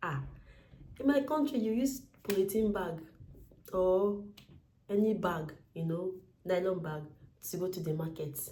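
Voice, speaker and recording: Speaking with a Nigerian accent, a woman has a dark, mellow tone, a somewhat breathy sound and lively intonation at a fairly slow pace. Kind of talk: casual talk to camera. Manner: humorous, chatty.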